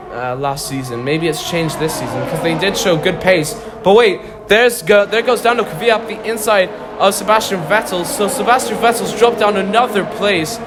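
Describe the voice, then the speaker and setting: Against noticeable background noise and audible room echo, a man with a high pitch speaks at a moderate pace with lively intonation. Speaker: video game race commentator. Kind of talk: live commentary. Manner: halting, stuttering.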